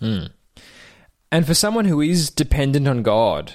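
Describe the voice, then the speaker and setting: This man has an Australian accent and speaks at a fairly slow pace. The recording is very clean, with a silent background. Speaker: podcast host. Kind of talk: interview.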